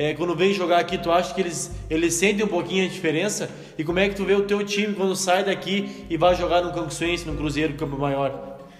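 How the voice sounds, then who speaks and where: A man with a high pitch and fairly even intonation talks at a fairly quick pace with hardly any pauses, amid noticeable background noise and audible room echo. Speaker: podcast host interviewing local football club. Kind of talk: casual interview.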